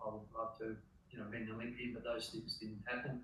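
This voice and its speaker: A man's fairly even intonation amid audible room echo and noticeable background noise. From Australia, rural Victoria. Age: 70s. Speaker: masters distance runner. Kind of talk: interview. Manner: halting.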